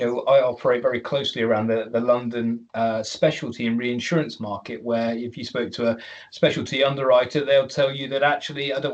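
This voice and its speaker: Speaking with a British accent, a man uses a medium pitch and monotone, flat intonation at a fairly quick pace. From United Kingdom. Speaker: webinar moderator. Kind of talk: panel discussion. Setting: online webinar.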